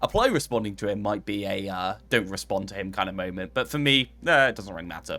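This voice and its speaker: A man with an English accent talks very fast with hardly any pauses, his voice fairly low yet bright and sharp. His intonation is lively and his loudness swings widely. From England. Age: 20s. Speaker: streamer. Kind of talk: casual chat. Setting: live stream.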